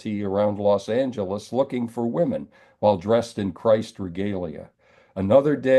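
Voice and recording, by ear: With ordinary variation in pitch, the text is read aloud in a natural voice.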